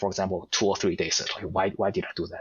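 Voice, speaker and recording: Speech comes at a very fast pace. A strong non-native accent is heard. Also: man. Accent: heavy foreign. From Asia. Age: 40s. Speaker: podcast guest. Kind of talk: casual interview chat. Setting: audio-only podcast. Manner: halting, repeats words.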